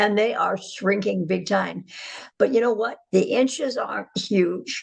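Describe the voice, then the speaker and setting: Vocal fry runs through a woman's medium-pitched voice as she speaks at a fairly slow pace with ordinary pitch variation. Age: 80s+. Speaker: customer giving a product testimonial. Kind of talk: testimony.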